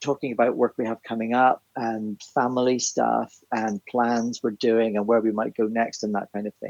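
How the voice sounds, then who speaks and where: At a moderate pace, a man talks at a medium pitch. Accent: Northern Irish. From Northern Ireland, Belfast. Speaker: theatre writer and composer. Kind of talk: casual chat.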